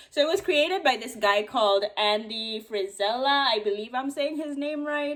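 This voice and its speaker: Noticeable background noise sits behind a woman talking at a fairly quick pace. Her fairly high voice carries lively intonation. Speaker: lifestyle vlogger. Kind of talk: casual vlog talk to camera. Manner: fast; casual, chatty.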